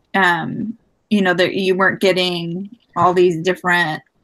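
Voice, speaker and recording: This is a woman speaking. She keeps a moderate pace. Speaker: student. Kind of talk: casual chat. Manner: loud.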